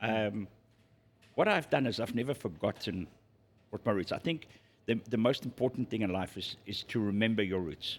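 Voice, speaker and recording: A man's fairly low voice in a South African accent, with ordinary pitch variation and long, frequent pauses. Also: moderate pace. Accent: South African Afrikaans-accented English. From South Africa, Zululand. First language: Afrikaans. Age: 60s. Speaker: restaurant and pub owner. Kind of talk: interview conversation.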